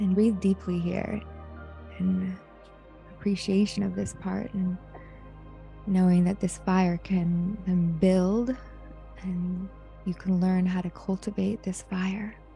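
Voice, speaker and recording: A woman speaks at a very slow pace with long, frequent pauses. Faint music plays behind a dry sound with no echo. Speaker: meditation guide. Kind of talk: guided meditation. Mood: calm, soothing, warm. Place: home room. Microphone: handheld.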